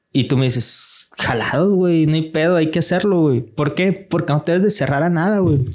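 Over noticeable background noise, a man talks at a moderate pace with hardly any pauses. His pitch sits fairly high and varies in an ordinary way. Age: 30s. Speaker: digital marketing entrepreneur. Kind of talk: casual chat. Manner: animated.

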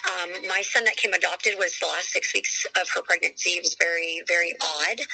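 Noticeable background noise is present. The delivery keeps a moderate pace. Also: woman. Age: 40s. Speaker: mother sharing fertility journey. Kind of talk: interview testimony. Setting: phone call. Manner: loud.

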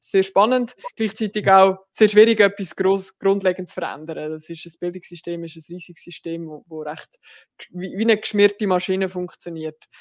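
An unremarkable speaking voice moves at a moderate pace with fairly even intonation. Its loudness swings widely. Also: woman, medium pitch for a woman. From rural canton of Lucerne, Switzerland. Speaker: politician, party general secretary. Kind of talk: casual interview.

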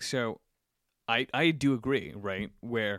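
A man talks very slowly on a very clean recording, the background completely silent. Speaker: podcast co-host. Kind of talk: casual chat. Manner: animated.

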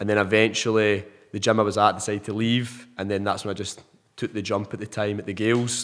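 A man with an Ayrshire accent at a very fast pace, fairly low in pitch and flat in a monotone. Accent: Scottish, Ayrshire. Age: 20s. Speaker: personal trainer. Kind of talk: casual interview chat.

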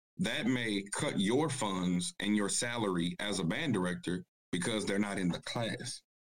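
With a plain, everyday voice, a man speaks at a fairly slow pace, with a fairly low pitch and lively intonation. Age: 30s. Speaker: high school band director, panelist. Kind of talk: casual panel discussion.

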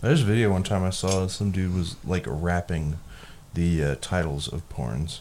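Very deep, low male speech, its pitch varying in an ordinary way. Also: moderate pace. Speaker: podcast host. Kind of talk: casual chat. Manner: profane, joking.

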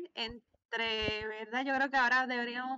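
A woman speaks at a high pitch and a fairly slow pace, with ordinary pitch variation. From Puerto Rico. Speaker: podcast co-host, language learner. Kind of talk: casual chat.

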